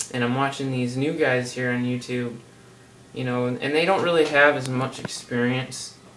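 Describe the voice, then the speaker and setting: Noticeable background noise and audible room echo surround a man speaking at a medium pitch with monotone, flat intonation. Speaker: health vlogger. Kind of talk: casual vlog monologue. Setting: seated at home on camera. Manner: fast; casual, rambling with fillers.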